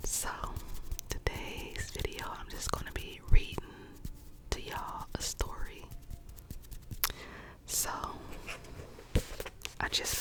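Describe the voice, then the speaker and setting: There is a woman's whisper here. Behind it, background noise is noticeable. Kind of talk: casual friendly greeting to camera. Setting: cozy bedtime ASMR recording. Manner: warm, cheerful, friendly.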